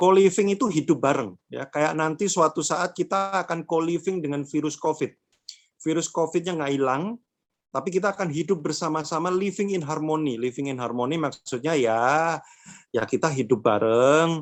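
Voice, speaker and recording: In a Javanese accent, a man speaks at a fairly high pitch with ordinary pitch variation. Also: moderate pace. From Java, Indonesia (Madiun, East Java). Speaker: workshop speaker on mental health. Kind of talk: online workshop talk. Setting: online event. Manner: casual, conversational.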